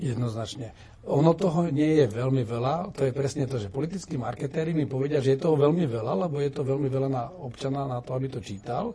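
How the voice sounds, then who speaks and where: Amid noticeable background noise, a man talks at a very fast pace with hardly any pauses. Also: ordinary pitch variation. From Slovakia. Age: 50s. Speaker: retired general turned politician. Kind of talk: interview.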